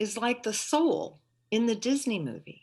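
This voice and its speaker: A woman with a Midwestern American accent, high-pitched and very slow, lively in intonation, against a quiet background. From St. Louis, Missouri. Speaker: retired teacher and librarian, storyteller. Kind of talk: live personal storytelling performance. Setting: video call.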